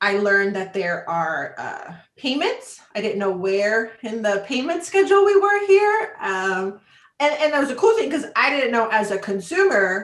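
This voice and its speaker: A woman's fairly high pitch and lively intonation at a fairly slow pace. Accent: Spanish. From Chicago, US Midwest. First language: Spanish. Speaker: travel industry business development manager. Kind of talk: interview.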